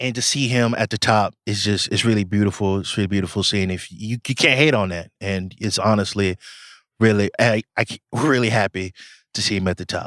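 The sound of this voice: At a moderate pace, a man uses a normal speaking voice with a medium pitch and ordinary pitch variation. The very clean recording has a silent background and a dry, close sound with no echo.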